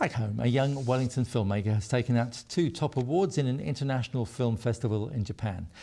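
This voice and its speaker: Speaking at a fairly quick pace with hardly any pauses, a man has a dark, mellow, somewhat breathy tone at a medium pitch, with ordinary pitch variation and very even loudness, in a very clean recording over a silent background. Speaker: news presenter. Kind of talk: TV news bulletin reading.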